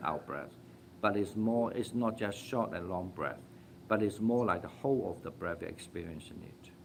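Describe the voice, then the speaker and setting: A man with a non-native accent talks at a moderate pace. His pitch is fairly low, with ordinary variation. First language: not English. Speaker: Buddhist meditation teacher. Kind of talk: Dharma talk with Q&A. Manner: halting, frequent fillers.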